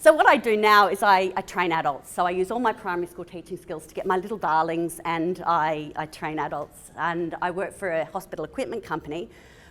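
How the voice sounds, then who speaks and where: A woman with an Australian accent and a fairly low pitch, talking at a fairly quick pace with hardly any pauses and big swings in loudness. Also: ordinary pitch variation. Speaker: physiotherapist. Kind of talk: conference talk. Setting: stage with audience.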